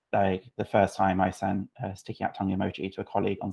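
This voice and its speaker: In a British accent, a man with a fairly low pitch talks in a monotone, flat intonation against a quiet background. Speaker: UX writer. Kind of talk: casual chat.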